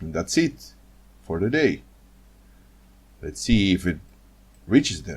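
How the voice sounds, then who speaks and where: A man with a non-native accent speaks at a fairly slow pace, his very deep, low pitch swinging very widely and touched with vocal fry. His loudness rises and falls in big swings, broken by long, frequent pauses. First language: not English. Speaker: trading educator. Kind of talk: screen-share tutorial. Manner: halting, many fillers and repetitions.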